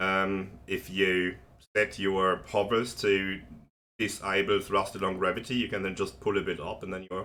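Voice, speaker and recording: A bright, sharp tone at a fairly slow pace. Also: man. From Germany. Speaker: video game tutorial creator. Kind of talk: tutorial. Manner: casual, with many fillers.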